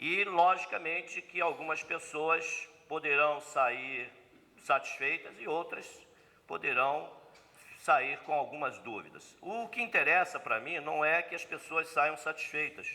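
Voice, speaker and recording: A man speaks at a very slow pace. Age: 60s. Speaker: spiritist lecturer. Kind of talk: seminar lecture. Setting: spiritist center seminar with audience.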